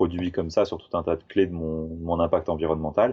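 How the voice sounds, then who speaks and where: This man's pitch is very deep and low. He talks at a fairly quick pace. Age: 30s. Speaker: tiny house builder, 3D graphic artist. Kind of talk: casual interview chat.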